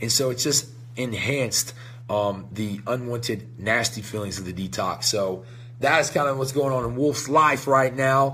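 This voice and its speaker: A man talks at a moderate pace and medium pitch with ordinary pitch variation and an energetic tone. Audible room echo surrounds his voice. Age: 30s. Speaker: supplement company owner hosting a live show. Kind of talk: live stream casual talk. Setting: company headquarters, live stream.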